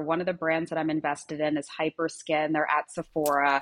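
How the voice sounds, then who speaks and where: A woman speaks at a moderate pace with a slight Long Island accent and a fairly low pitch. The background is quiet. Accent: Long Island New York, slight. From US Northeast, Long Island, New York. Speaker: brand founder and CEO. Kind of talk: casual interview chat. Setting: video call from Miami.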